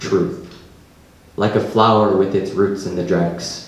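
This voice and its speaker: A man's voice over noticeable background noise. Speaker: poet. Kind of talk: live poetry reading.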